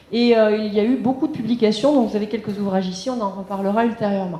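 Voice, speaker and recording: The pitch varies in an ordinary way. There is noticeable background noise and audible room echo. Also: woman. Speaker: local history society president. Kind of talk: public lecture. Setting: conference room with audience. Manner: fast.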